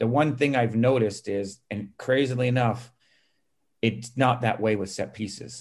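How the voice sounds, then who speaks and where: At a moderate pace and medium pitch, a man uses an unremarkable speaking voice with fairly even intonation. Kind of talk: casual interview conversation.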